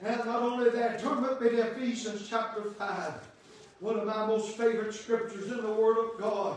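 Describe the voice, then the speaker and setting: A man's high-pitched, monotone, flat voice at a moderate pace, with strong room echo and light background noise. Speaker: Baptist preacher. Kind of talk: sermon, preaching to a congregation with call-and-response amens. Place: church. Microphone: camera far.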